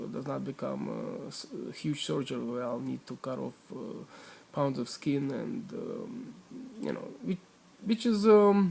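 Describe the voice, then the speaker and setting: A man with a non-native accent, at a moderate pace. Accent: foreign. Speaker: weight-loss vlogger. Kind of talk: personal video diary. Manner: halting, many fillers.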